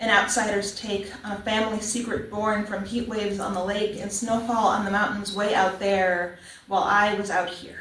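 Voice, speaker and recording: Soft-spoken and in an American accent, the speaker keeps a moderate pace with hardly any pauses and a monotone, flat intonation, amid noticeable background noise and audible room echo. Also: woman, medium pitch for a woman. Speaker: poet. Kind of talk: poetry reading. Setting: church open mic with audience.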